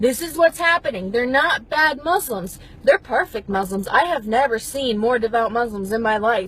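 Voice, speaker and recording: Noticeable background noise sits behind a woman with a high pitch. She keeps a moderate pace, hardly pauses, and her intonation is lively. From Middle East. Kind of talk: opinion monologue to camera.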